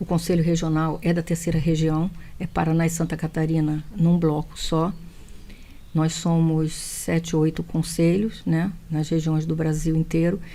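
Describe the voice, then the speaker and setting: A woman with a Rio de Janeiro accent speaks at a fairly slow pace, her fairly low pitch delivered in a monotone, flat intonation. Her tone is dark and mellow, with very even loudness. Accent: carioca. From Brazil, Rio de Janeiro. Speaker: speech therapist. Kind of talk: TV interview.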